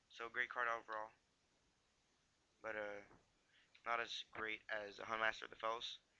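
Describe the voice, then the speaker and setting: Mumbling in a bright, sharp tone, a man at a medium pitch keeps a moderate pace and monotone, flat intonation, with long, frequent pauses. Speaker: YouTuber doing card game deck techs. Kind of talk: casual deck tech video. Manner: halting, many fillers.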